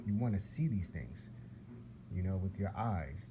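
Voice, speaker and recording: A dark, mellow tone with vocal fry and an American accent carries lively intonation at a moderate pace. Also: man. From US Northeast, Philadelphia. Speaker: religious video blogger. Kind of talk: casual religious monologue. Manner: rambling, repetitive.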